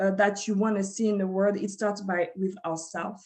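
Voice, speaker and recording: A woman talks with a French accent. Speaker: community advocate and former city council candidate. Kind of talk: panel discussion. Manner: halting, many fillers and restarts.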